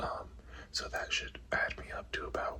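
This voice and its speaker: A man whispers over noticeable background noise. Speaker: cycling vlogger. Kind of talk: casual vlog narration.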